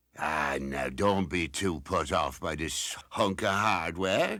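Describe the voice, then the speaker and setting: Very deep, low pitch in a man's put-on character voice, delivered at a fairly slow pace. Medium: short film. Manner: hearty, chuckling.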